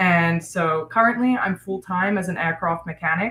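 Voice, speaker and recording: A woman with an unremarkable speaking voice talks at a moderate pace and a medium pitch. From United States (moved from South Africa at about seven). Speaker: aircraft mechanic and prospective financial advisor. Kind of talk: interview.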